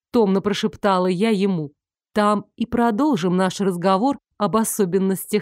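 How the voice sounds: The backdrop is quiet. A natural reading voice comes through with fairly even intonation.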